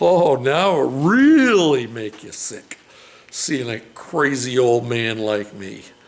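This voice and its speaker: A man at a very slow pace with very wide pitch swings, audible room echo and noticeable background noise. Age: 60s. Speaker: DIY mechanic and fabricator. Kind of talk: casual vlog talk. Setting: home garage. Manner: relaxed, hesitant with fillers.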